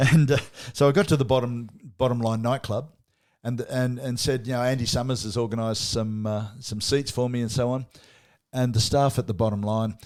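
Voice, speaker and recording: A man with an Australian accent talks at a moderate pace and medium pitch, with fairly even intonation. He leaves long, frequent pauses, and the recording is very clean with a silent background. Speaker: podcast co-host. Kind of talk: casual chat. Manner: halting.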